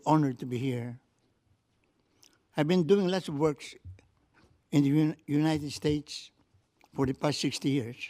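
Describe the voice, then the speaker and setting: This man's pitch is fairly high and his tone dark and mellow. He keeps a moderate pace with long, frequent pauses. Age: 80s+. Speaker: retired physician, public commenter. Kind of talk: public comment at board meeting. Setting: county board meeting chamber. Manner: halting; formal.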